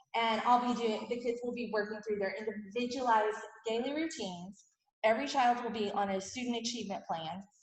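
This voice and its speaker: Audible room echo is present. The delivery is fairly quick. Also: woman, fairly high pitch for a woman. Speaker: teacher. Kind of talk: presentation to parents. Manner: fast; animated.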